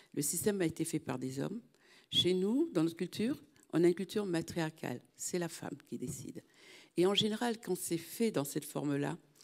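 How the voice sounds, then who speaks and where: Moderate-paced speech from a woman with a fairly low pitch and ordinary pitch variation, against a quiet background. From Martinique. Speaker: audience member, association president; audience member. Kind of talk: audience question. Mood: earnest, reflective. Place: hall.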